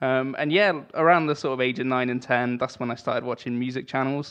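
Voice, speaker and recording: A man speaks at a very fast pace with an English accent. His pitch varies in an ordinary way. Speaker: guitarist and musician. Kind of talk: casual chat. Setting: video call.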